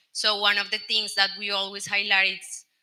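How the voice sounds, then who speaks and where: A woman with a Colombian accent, medium pitch and moderate pace. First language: Spanish. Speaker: telecom product executive. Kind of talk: panel discussion.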